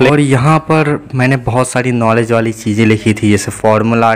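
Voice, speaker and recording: A man's voice at a fairly slow pace with ordinary pitch variation. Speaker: student vlogger. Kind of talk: casual vlog chat. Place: home room. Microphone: lapel.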